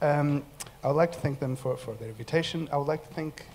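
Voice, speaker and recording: This man's voice is somewhat breathy, and his intonation stays fairly even. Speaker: academic researcher. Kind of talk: conference presentation. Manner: fast.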